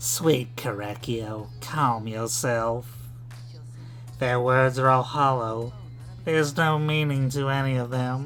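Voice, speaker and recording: Putting on a menacing character voice at a medium pitch, a man talks at a fairly slow pace with long, frequent pauses over clear background noise. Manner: menacing, coaxing.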